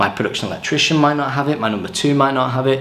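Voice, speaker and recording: Noticeable background noise runs under the voice. There is audible room echo as well. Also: man. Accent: English. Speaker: touring lighting technician. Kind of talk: tutorial. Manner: casual.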